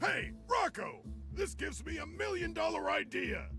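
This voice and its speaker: With clear music in the background, a man uses a put-on character voice at a moderate pace. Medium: game stream. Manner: gruff, wheeling and dealing.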